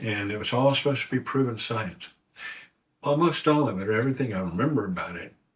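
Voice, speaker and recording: A man talks with lively intonation and a somewhat breathy sound. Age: 70s. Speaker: Bible study co-host. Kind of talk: Bible study discussion. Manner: halting.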